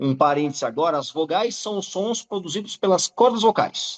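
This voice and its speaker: The recording is dry and close, with no echo. A man speaks with lively intonation. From Santos, Brazil. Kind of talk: explanatory, teaching.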